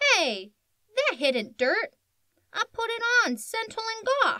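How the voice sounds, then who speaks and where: A woman's put-on character voice, extremely high in pitch and at a fairly slow pace. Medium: read story.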